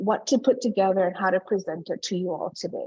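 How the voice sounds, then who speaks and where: Somewhat breathy, a woman speaks at a moderate pace with ordinary pitch variation. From Hawaii, Oahu. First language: not English. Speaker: early learning researcher and presenter. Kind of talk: conference presentation.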